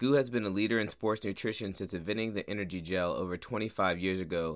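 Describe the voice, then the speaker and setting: On a very clean recording with a silent background, a man speaks in a normal speaking voice with fairly low pitch. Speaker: podcast host. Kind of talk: casual chat.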